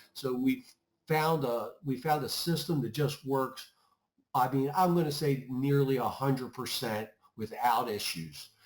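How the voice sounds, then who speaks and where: An ordinary speaking voice from a man, medium in pitch, with ordinary pitch variation. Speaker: IT services manager. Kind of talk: webinar presentation.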